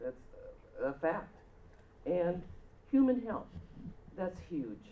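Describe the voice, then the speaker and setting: Loud and dark, mellow in tone, a woman's voice makes very wide pitch swings. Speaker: retired site worker and advisory board member. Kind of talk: public meeting comment. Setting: public meeting room.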